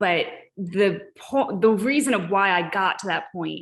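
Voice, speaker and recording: A woman speaks with an American accent. Her voice has vocal fry. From US South, Ozark Mountains. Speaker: artist and art educator. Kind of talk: artist talk Q&A.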